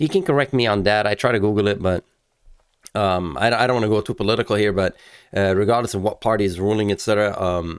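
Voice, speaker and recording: A man with a non-native accent and a fairly low pitch talks at a very fast pace, recorded very cleanly against a silent background. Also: ordinary pitch variation, very even loudness. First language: not English. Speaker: car channel host. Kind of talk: casual video commentary. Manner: halting, many fillers.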